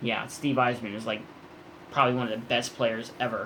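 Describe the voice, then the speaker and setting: The tone is bright and sharp. It belongs to a man. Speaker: comic book YouTuber. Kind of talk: live stream chat. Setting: home at night, live stream. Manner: trying to keep voice down.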